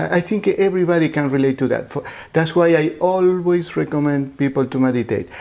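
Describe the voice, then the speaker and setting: A man speaks at a moderate pace in a fairly high pitch with a dark, mellow tone. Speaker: reiki healer, meditation practitioner. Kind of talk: interview questions, casual talk.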